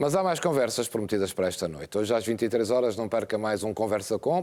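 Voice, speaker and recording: A man at a fairly quick pace, fairly low in pitch, with a dark, mellow tone. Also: very clean recording, silent background. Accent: European Portuguese. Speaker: TV presenter. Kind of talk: TV presenting.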